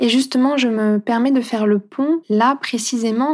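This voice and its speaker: The intonation stays fairly even. It is a very clean recording with a silent background. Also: woman. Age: 30s. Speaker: holistic coach and podcast host. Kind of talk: casual monologue. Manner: warm, gentle.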